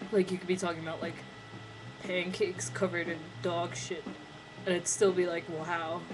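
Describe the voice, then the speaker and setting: A woman with an American accent speaks in a flat monotone, leaving long, frequent pauses. Noticeable background noise runs underneath. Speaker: vlogger. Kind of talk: casual vlog monologue.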